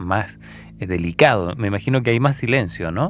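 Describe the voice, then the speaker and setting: An unremarkable speaking voice from a man, fairly low in pitch, with ordinary pitch variation and a fairly quick pace. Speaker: radio host. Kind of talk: radio interview question.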